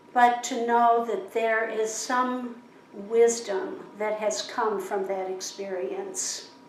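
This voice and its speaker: Noticeable background noise and audible room echo surround a woman speaking very slowly at a fairly high pitch with lively intonation. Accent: American. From US Midwest, Chicago. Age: 70s. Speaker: interviewee. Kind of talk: interview. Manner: thoughtful, with pauses and fillers.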